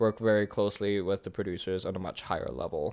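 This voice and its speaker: Against a quiet background, a man with an American accent talks in a fairly low pitch. He has an ordinary speaking voice. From Germany until age ten, then US. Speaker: film producer. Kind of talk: casual interview.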